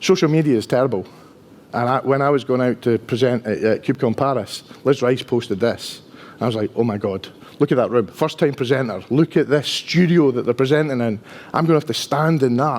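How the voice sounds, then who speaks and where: A man's medium-pitched voice in a strong Dundee accent, fairly quick, with ordinary pitch variation. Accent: strong Dundonian Scottish. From Scotland, Dundee. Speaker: enterprise architect, conference speaker. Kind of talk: conference talk. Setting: stage with audience. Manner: casual, conversational.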